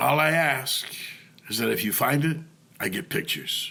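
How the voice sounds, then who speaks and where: A man puts on a character voice with a raspy sound. His pitch is fairly high and his pace moderate. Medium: read story. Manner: gruff, blunt.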